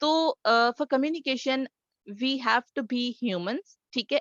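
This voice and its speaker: This woman speaks with a Sindhi accent. Her pitch varies in an ordinary way. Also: dry, close sound with no echo. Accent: Sindhi-accented Urdu. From Sindh, Pakistan. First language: Sindhi (speaking Hindi). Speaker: communication trainer. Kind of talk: webinar talk. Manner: hesitant, frequent fillers.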